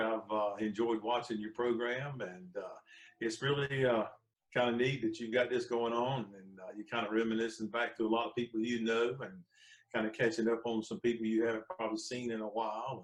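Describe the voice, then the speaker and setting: A man speaks with a Southern US accent at a medium pitch. His pace is fairly quick and his intonation fairly even. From North Carolina. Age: 60s. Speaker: gospel and country musician. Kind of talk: casual interview chat.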